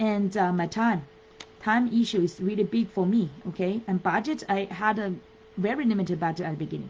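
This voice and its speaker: A woman with a Chinese accent speaks fairly quickly at a medium pitch with ordinary pitch variation. She takes long, frequent pauses. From China. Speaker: business coach. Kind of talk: live webinar talk. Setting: Facebook live stream. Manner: halting, many fillers.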